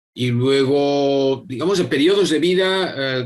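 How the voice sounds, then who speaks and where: With ordinary pitch variation, this man talks in a medium-pitched voice. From Spain, Madrid. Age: 60s. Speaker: yoga teacher and public official. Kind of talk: interview. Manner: halting, many repetitions and fillers.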